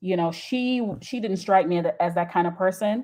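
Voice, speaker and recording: A woman with a Jamaican accent at a moderate pace, ordinary pitch variation, and a quiet background. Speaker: YouTube commentator. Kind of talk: live stream chat. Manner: enunciated; halting.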